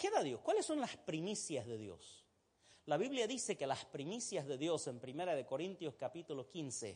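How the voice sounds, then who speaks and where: The man's pitch moves in very wide swings. He speaks at a fairly slow pace. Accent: Santa Cruz Bolivian. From Egypt. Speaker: pastor. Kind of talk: sermon.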